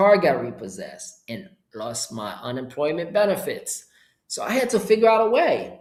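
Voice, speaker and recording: A man's animated voice in a Haitian accent, moderate in pace, with very wide pitch swings. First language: Haitian Creole. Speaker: entrepreneur and course seller. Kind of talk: live webinar. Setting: live stream with chat.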